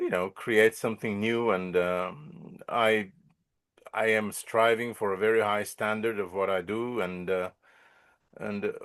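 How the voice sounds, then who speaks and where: Against a quiet background, a man with a Bulgarian accent speaks at a fairly slow pace, his fairly low pitch showing ordinary variation. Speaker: musician and composer. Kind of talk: interview. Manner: halting, many repetitions.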